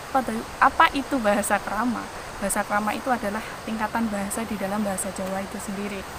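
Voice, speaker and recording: Over noticeable background noise, a woman with a strong Javanese accent talks at a very fast pace, her fairly high pitch held to fairly even intonation. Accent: thick rural Javanese (medok). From Central Java, Wonogiri regency. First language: Javanese (speaking Indonesian). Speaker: podcaster. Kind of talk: solo podcast monologue.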